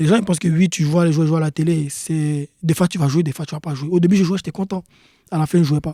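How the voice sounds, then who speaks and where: Dark and mellow in tone, the voice runs at a very fast pace with fairly even intonation. The sound is dry and close, with no echo. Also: man, fairly high pitch for a man. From Ivory Coast. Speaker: professional soccer player. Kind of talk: podcast interview.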